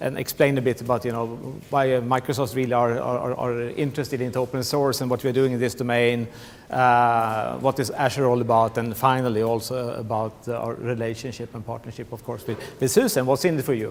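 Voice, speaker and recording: A man with a Swedish accent speaks in a flat monotone. His pace is fairly quick. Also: medium pitch for a man. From Sweden. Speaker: tech company business manager. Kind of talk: conference presentation. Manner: halting, many fillers and repetitions.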